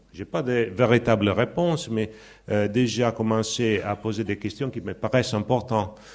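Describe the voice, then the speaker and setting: This man's moderately paced speech is captured on a very clean recording with a silent background. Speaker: sociology professor. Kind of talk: conference talk. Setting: conference with audience. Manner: halting.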